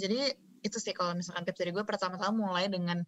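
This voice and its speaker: A plain, everyday voice talks at a fairly quick pace with ordinary pitch variation. The sound is dry and close with no echo. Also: woman. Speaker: university student and performer. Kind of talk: casual chat.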